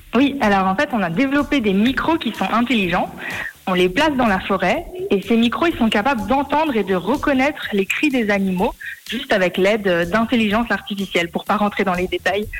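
A woman's fairly high voice at a fairly quick pace, very even in loudness, with noticeable background noise. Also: lively intonation. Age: 20s. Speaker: student and startup co-founder. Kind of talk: radio interview.

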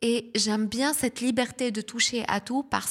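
A woman with a Lebanese accent speaks at a fairly slow pace, her fairly high pitch showing ordinary variation, on a very clean recording with a silent background. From southern Lebanon. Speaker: communication and marketing specialist, festival founder. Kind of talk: interview.

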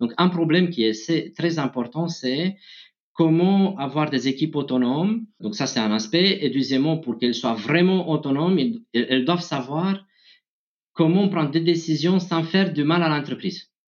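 The speaker has a Romanian accent and lively intonation. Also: man, moderate pace. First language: Romanian (speaking French). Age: 30s. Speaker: tech executive. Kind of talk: interview. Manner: halting.

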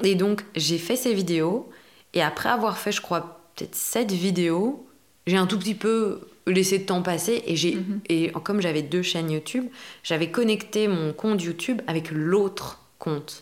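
A plain, everyday voice speaks at a fairly slow pace. Its pitch varies in an ordinary way. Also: woman, medium pitch for a woman. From Belgium. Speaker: actress and acting coach. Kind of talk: casual interview.

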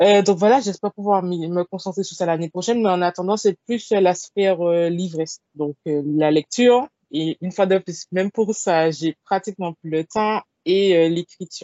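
In a plain, everyday voice, a woman speaks at a fairly slow pace. Her pitch sits in the medium range with ordinary variation. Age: 20s. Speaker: literary blogger and author. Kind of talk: casual interview.

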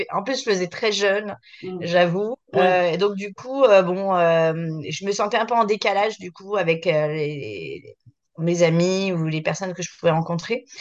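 A woman at medium pitch, very slow, with ordinary pitch variation and big swings in loudness. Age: 40s. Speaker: entrepreneur, concept store founder. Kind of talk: casual chat. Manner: halting, many hesitations.

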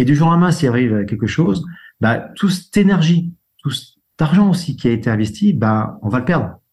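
A man talks at a fairly quick pace with very wide pitch swings. His voice is somewhat breathy and very even in loudness. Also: fairly high pitch for a man. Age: 60s. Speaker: insurance broker. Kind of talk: interview.

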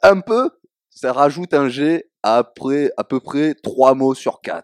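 Very slow speech in a southern French accent. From southern France. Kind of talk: casual chat.

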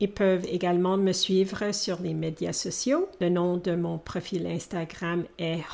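A woman speaks at a very slow pace. Her medium pitch shows ordinary variation. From Canada (Alberta, Edmonton). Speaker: English coach. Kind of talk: interview. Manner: hesitant, with filler sounds.

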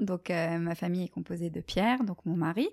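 A woman's medium-pitched, a plain, everyday voice, with ordinary pitch variation, a dry, close sound with no echo, and a very clean recording against a silent background. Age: 30s. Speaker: medical sales rep. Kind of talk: casual interview. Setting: in-person at host's home.

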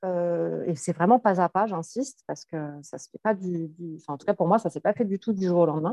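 With an unremarkable speaking voice, a woman talks at a moderate pace with lively intonation, in a dry, close sound with no echo. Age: 40s. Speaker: psychologist and coach. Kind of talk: casual interview.

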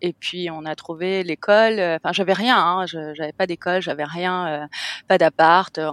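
At a moderate pace and with fairly even intonation, the voice comes through a very clean recording with a silent background and a dry, close sound with no echo. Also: woman. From France, Cannes. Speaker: hotel owner. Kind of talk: interview.

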